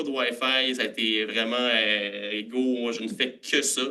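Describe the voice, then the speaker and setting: A man's voice has a medium pitch and a bright, sharp tone. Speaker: food science graduate and startup cofounder. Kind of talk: conference presentation. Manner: casual with many filler hesitations.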